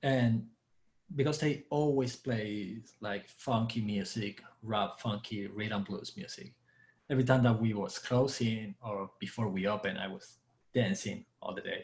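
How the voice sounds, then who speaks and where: A man speaks at a fairly slow pace with an Argentine accent. His medium-pitched voice is somewhat breathy, with ordinary pitch variation. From Argentina. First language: Spanish. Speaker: dancer and bartender. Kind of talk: casual chat.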